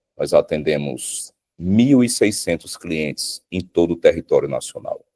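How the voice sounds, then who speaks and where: At a fairly slow pace, a man talks in a dry, close sound with no echo. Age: 40s. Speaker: security company sales director. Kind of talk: interview conversation.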